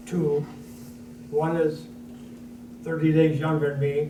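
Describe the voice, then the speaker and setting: A man talks in a monotone, flat way at a fairly high pitch. The recording has audible room echo and noticeable background noise. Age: 80s+. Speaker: war veteran. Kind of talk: panel discussion.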